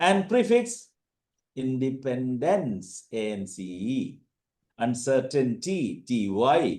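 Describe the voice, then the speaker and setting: In a Keralite accent, a man speaks very slowly with a dark, mellow tone, very wide pitch swings and big swings in loudness. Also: medium pitch for a man. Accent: Indian (Keralite). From India, Kerala. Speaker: teacher / language trainer. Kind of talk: online orientation lecture. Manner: halting, many fillers.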